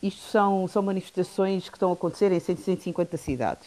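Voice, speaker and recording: A woman with a dark, mellow tone at a fairly slow pace. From Guinea-Bissau. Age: 40s. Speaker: development consultant. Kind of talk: radio panel discussion.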